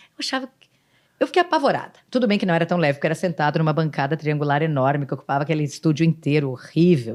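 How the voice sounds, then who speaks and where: This woman has a very deep, low pitch and speaks very fast, with an animated tone and lively intonation. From Rio Grande do Sul, Brazil. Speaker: city councillor and former TV news presenter. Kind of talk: podcast interview.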